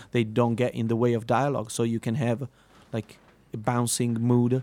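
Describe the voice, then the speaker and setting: A man's dark, mellow voice at a medium pitch, monotone and flat in intonation, at a moderate pace. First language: Italian. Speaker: musician. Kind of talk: interview. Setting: live radio in a concert venue.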